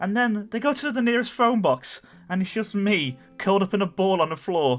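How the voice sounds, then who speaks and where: Over music in the background, a man with a British accent speaks in a high pitch with lively intonation. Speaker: gamer and streamer. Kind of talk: comedic story time to camera.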